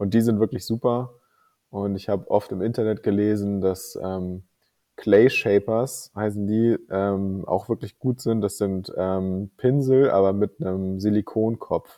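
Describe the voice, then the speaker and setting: In a plain, everyday voice, a man speaks at a fairly low pitch with fairly even intonation. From northern Germany, Kiel. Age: 30s. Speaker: miniature painter and tabletop player. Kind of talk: interview.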